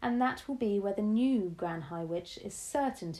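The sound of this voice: A speaker reads aloud in an unforced reading voice.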